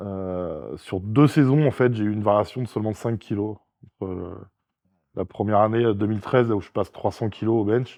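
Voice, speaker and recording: With a fairly low pitch, a man speaks at a moderate pace with ordinary pitch variation. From France. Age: 40s. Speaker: strongman athlete and sports coach. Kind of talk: casual interview chat. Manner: hesitant with frequent fillers.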